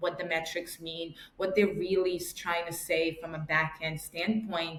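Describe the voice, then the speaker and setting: Someone with a New York accent speaks with fairly even intonation over noticeable background noise. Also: woman. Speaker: marketing director. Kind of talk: podcast interview. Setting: call.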